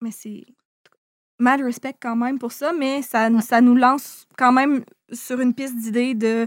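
In a very clean recording with a silent background, a woman speaks slowly-ish at a high pitch with monotone, flat intonation, big swings in loudness, and long, frequent pauses. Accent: Quebec. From Quebec City region. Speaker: YouTuber. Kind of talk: casual chat.

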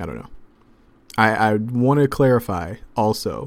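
The pitch of a normal speaking voice varies in an ordinary way while the pace stays moderate. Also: man. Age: 30s. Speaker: basketball podcast host. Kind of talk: casual mailbag podcast. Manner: casual, filler-heavy.

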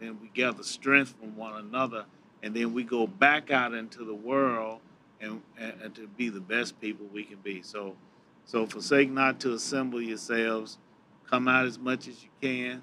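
A man talks at a moderate pace in a medium pitch with fairly even intonation. His tone is bright and sharp, and his loudness swings widely. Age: 60s. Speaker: church lay leader. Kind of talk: panel discussion.

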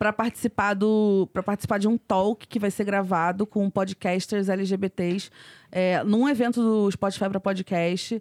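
Heard in a dry, close sound with no echo and a very clean recording with a silent background, a woman of medium pitch speaks in a monotone, flat intonation. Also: moderate pace, very even loudness. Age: 30s. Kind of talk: casual chat.

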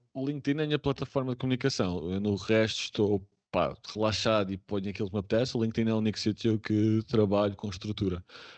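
A man speaks very fast in a fairly low voice, his pitch varying in an ordinary way. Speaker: remote work specialist. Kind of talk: casual interview.

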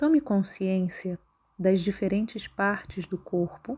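A woman speaks at a very slow pace in a calm, soothing tone, dark and mellow. Her voice is somewhat breathy, at a medium pitch. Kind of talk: guided meditation (yoga nidra). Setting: recorded audio for listening while lying down. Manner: slow, calm, soothing, with long pauses between instructions.

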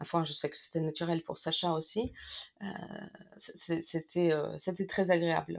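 Speaking fairly slowly, a woman pauses often and at length. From Ukraine. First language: Russian (speaking French). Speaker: co-author of a war diary. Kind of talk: interview. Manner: halting.

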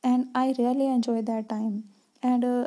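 A woman's high-pitched voice has a dark, mellow tone and monotone, flat intonation. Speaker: vlogger and teacher trainee. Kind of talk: personal vlog monologue. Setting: home at night. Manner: halting.

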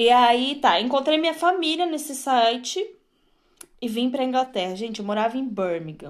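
Her voice swings very widely in pitch. The woman speaks at a high pitch. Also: moderate pace, quiet background. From Brazil, Rio Grande do Sul (Torres). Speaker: podcast co-host. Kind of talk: casual chat. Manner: loud barking laugh.

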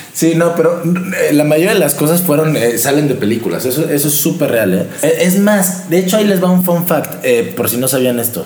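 Through audible room echo and noticeable background noise, a man with a Mexican accent talks at a moderate pace and fairly high pitch with lively intonation. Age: 20s. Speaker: podcast host. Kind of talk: casual chat.

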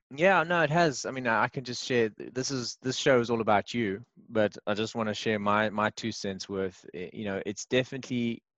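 A man with an ordinary speaking voice talks at a medium pitch with lively intonation. The sound is dry and close with no echo, over a quiet background. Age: 40s. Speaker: podcast host and part-time actor. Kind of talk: casual interview. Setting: remote call.

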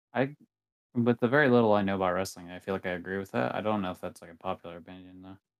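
A man's very deep, low voice at a very fast pace, with big swings in loudness, a dry, close sound with no echo and a quiet background. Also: ordinary pitch variation. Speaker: podcast co-host. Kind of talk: casual chat.

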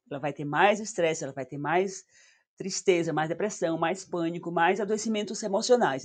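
Her voice is fairly low, with a northeastern Brazilian accent. The woman keeps a moderate pace with ordinary pitch variation. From Northeast Brazil. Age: 60s. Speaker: psychotherapist. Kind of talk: casual interview.

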